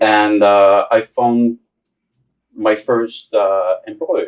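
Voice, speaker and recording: A man talks with a French accent. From France. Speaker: business executive. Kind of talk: interview. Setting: studio.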